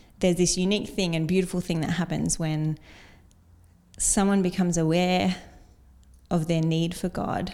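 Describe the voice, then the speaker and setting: Dark, mellow tone, monotone and flat, with long, frequent pauses, in a very clean recording with a silent background. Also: woman, fairly low pitch for a woman, moderate pace. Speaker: cancer survivor giving testimony. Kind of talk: testimony.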